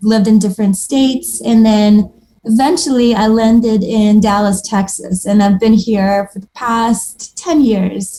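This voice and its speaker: The voice is dark, mellow and somewhat breathy, with ordinary pitch variation. It moves at a fairly slow pace with hardly any pauses. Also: woman, fairly high pitch for a woman. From Moldova. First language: Moldovan and Russian. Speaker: watercolor artist. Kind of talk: casual interview chat.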